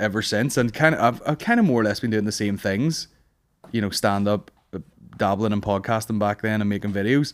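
With a Northern Irish accent, a man of fairly low pitch speaks at a fairly quick pace and ordinary pitch variation. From Northern Ireland. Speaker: stand-up comedian. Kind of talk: casual chat. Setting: studio.

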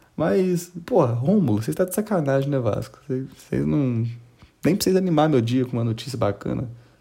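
A man with a dark, mellow tone and medium pitch speaks at a moderate pace. His somewhat breathy voice moves through very wide pitch swings. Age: 20s. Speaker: news podcast host. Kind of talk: casual comedic news commentary. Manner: animated.

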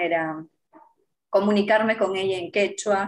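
At a moderate pace, a woman with a medium pitch talks in an ordinary speaking voice. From Peru, Apurímac (Andean). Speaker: journalist and TV presenter. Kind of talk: interview.

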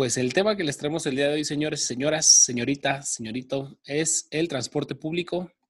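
A man with a fairly high, somewhat breathy voice speaks at a moderate pace. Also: ordinary pitch variation. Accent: Mexican. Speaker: podcast co-host. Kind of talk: casual chat. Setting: recording from home.

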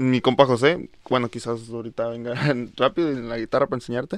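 His pitch sits in the medium range. Behind the man, the background is quiet. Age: 20s. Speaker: singer and musician, paramedic. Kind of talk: casual interview.

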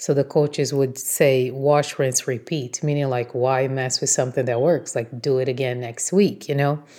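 A woman with a Portuguese accent speaks at a very deep, low pitch in a dark, mellow tone, with fairly even intonation and hardly any pauses. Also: moderate pace, very clean recording, silent background. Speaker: blogger and podcast host. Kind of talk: motivational solo talk.

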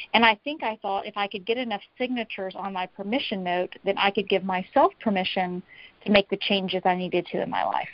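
A woman's ordinary speaking voice with an American accent, medium pitch, ordinary pitch variation and a fairly quick pace. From US South, Tennessee. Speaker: author and coach on personal integrity. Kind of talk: interview conversation.

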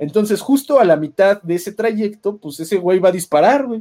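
This man speaks with a Mexican accent and lively intonation. His tone is dark and mellow. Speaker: podcast narrator. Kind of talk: lore storytelling narration. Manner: filler-heavy casual.

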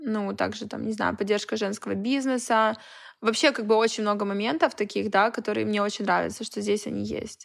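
On a very clean recording with a silent background, the speech runs at a fairly quick clip. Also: woman. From Russian Far East, Vladivostok. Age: 20s. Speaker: stylist and event organizer. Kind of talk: casual chat. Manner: animated.

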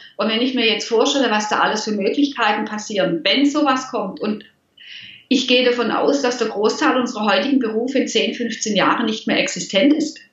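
A woman with a fairly high pitch speaks at a fairly quick pace, with audible room echo in the recording. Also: ordinary pitch variation. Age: 50s. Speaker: money mindset coach. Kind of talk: interview.

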